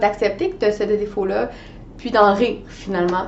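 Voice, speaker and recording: A woman at medium pitch with ordinary pitch variation, amid noticeable background noise and audible room echo. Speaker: life coach. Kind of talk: coaching video monologue. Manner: hesitant fillers.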